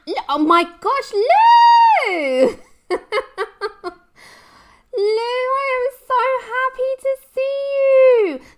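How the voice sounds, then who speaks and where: A woman shouts in a squeaky, put-on character voice at an extremely high pitch. She goes at a very slow pace with long, frequent pauses. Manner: excited.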